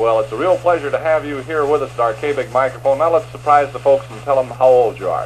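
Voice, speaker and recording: Over noticeable background noise, a man talks at a very fast pace with medium pitch and fairly even intonation. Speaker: radio host. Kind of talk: radio interview. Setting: radio studio.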